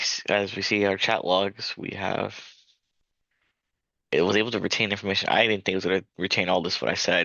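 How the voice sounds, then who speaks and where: Mumbling at a fairly quick pace, a man with a fairly low pitch and fairly even intonation leaves long, frequent pauses. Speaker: student presenter. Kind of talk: casual demo review. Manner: fast, mumbling.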